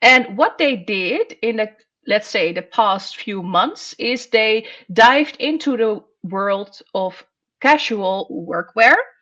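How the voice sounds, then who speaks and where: A woman with a Dutch accent speaks very slowly at a fairly high pitch. Her tone is bright and sharp, with lively intonation. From Netherlands. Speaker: columnist on workwear. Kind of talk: podcast discussion.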